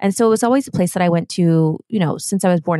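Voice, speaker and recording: Speaking in an American accent at a very fast pace, a woman uses a fairly low pitch with ordinary pitch variation. The sound is dry and close with no echo. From Ohio and Germany. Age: 30s. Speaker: skincare founder and influencer. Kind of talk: casual chat. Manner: chatty.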